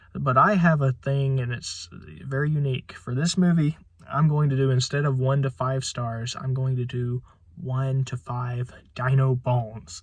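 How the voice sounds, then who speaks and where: A man speaks at medium pitch, somewhat breathy. His pace is fairly slow, with ordinary pitch variation. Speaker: movie reviewer. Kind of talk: video review. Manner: halting, many filler words.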